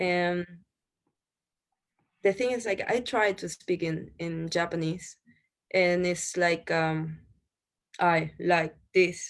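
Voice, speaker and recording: Someone with a Spanish accent speaks at a very slow pace with long, frequent pauses against a quiet background. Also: woman, fairly low pitch for a woman, fairly even intonation. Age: 30s. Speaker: restaurant owner. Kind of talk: interview.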